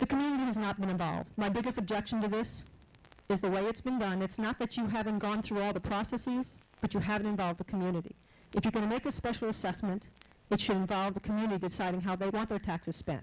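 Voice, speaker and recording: Talking at a very fast pace, a woman keeps her intonation fairly even. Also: medium pitch for a woman. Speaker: resident speaking at public comment. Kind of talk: public comment at council meeting.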